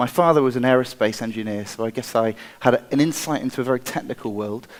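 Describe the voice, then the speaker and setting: Speaking at a very fast pace with an American accent, a man uses a medium pitch and ordinary pitch variation. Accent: English, noticeable to a US audience. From England, Wiltshire. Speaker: designer and inventor. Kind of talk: conference talk. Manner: halting, with repeated words and fillers.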